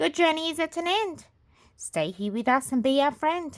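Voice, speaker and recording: A put-on character voice, high-pitched and gentle in tone, at a moderate pace. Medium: read story.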